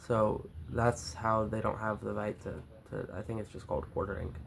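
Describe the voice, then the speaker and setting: Using vocal fry, a man with an American accent speaks at a fairly low pitch and a moderate pace. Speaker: youtuber. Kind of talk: reading aloud with commentary. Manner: halting, stumbles over words.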